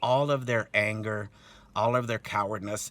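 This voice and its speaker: A man with a fairly low pitch talks at a moderate pace, keeping his intonation fairly even. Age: 60s. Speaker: protester recounting an assault on his son. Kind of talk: testimony. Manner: halting, many fillers.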